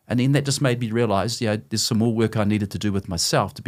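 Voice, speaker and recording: A man's fairly low voice in a New Zealand accent, at a very fast pace with ordinary pitch variation, on a very clean recording with a silent background. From New Zealand, South Auckland. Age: 60s. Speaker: former company CEO, author. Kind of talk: podcast interview.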